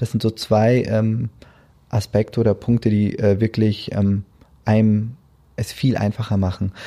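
At a fairly slow pace with long, frequent pauses, a man speaks in a monotone, flat delivery with a fairly low pitch and a dark, mellow tone, recorded dry and close with no echo. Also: very even loudness. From Germany, Hesse region. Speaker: tax office department head, lawyer. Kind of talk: interview. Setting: studio.

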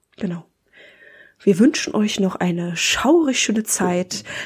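A woman's somewhat breathy voice, very slow with lively intonation. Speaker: podcast host. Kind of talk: scripted narration; casual chat.

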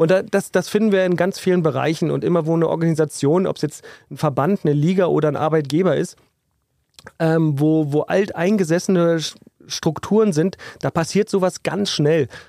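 A man's high-pitched voice with a dark, mellow tone, very even loudness, fairly even intonation and a moderate pace. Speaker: basketball referee. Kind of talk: casual chat. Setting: restaurant / beer hall.

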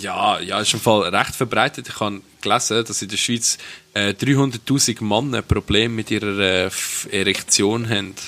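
A man speaks in a normal speaking voice at a fairly low pitch. His pace is fairly slow and his intonation fairly even. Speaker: podcast co-host. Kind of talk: casual chat.

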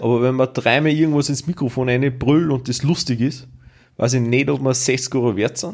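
With fairly even intonation, a man speaks at a medium pitch in an unremarkable speaking voice. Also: moderate pace. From Austria, rural village. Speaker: podcast co-host. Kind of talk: retelling fairy tales; casual chat. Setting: home dining room.

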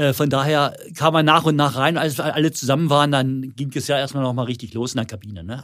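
With an unremarkable speaking voice, a man talks fairly quickly at a fairly high pitch, ordinary pitch variation and hardly any pauses, in a very clean recording with a silent background. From Lower Saxony, near Hildesheim. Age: 60s. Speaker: former footballer, football school owner. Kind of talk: casual interview.

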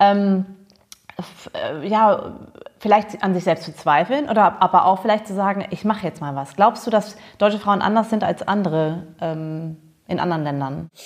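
A woman of medium pitch speaks at a moderate pace with ordinary pitch variation, big swings in loudness and long, frequent pauses. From Germany. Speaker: podcast host. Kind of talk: casual interview chat.

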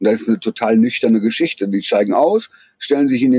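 The man's tone is dark and mellow, with very wide pitch swings. The sound is dry and close, with no echo. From Germany, Ruhr area (Duisburg). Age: 40s. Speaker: photojournalist. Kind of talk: interview, eyewitness account. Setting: video call from Poland. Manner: hesitant, many fillers.

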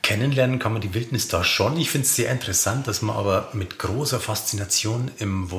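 A man's medium-paced speech, with ordinary pitch variation, comes through noticeable background noise. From Lower Bavaria (Simbach am Inn). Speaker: podcast host, culture editor. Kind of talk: interview.

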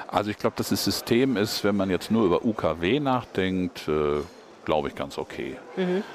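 A man talks in a fairly low voice. Noticeable background noise can be heard behind him. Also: lively intonation, moderate pace. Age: 50s. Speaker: state politician, former journalist. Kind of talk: interview. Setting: parliament building foyer.

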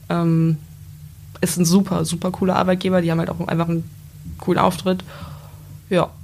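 Over noticeable background noise, a woman with a fairly low pitch speaks at a fairly quick pace in a monotone, flat way, broken by long, frequent pauses. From Lower Saxony, Gifhorn-Wolfsburg area. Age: 20s. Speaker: apprentice. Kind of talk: casual interview.

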